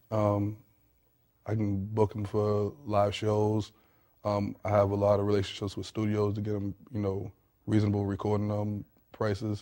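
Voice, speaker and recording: With a slight Southern US accent, a man speaks in a fairly low, dark, mellow voice with flat, monotone intonation at a moderate pace, on a very clean recording with a silent background. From Alabama (born in Boston). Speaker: rapper and artist promoter. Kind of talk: interview.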